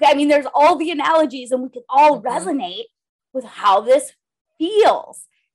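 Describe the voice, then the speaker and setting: A high-pitched woman with an American accent at a moderate pace. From Minnesota, rural. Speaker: former lawyer, coach and podcaster. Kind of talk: interview.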